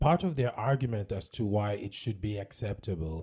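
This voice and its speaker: This man has a dark, mellow tone, somewhat breathy, with a fairly low pitch. His pitch varies in an ordinary way. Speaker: podcast co-host. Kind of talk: casual chat.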